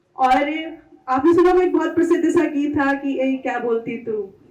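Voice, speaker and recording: Her voice is high in pitch for a woman. The woman's pitch moves in an ordinary way. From Pilibhit, Uttar Pradesh, India. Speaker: radio presenter and event anchor. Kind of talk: stage compering at poetry event.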